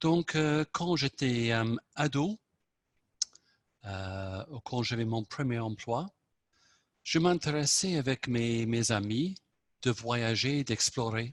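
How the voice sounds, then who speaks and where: A man's medium-pitched voice in an English accent, very slow and broken by long, frequent pauses, with ordinary pitch variation. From southern England. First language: English (speaking French). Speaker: club member. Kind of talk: impromptu speech.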